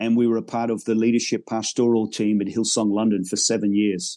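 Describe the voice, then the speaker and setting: Against a quiet background, a man with a dark, mellow tone talks at medium pitch and a moderate pace. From Northern Ireland, raised abroad in a military family. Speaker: pastor. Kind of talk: interview.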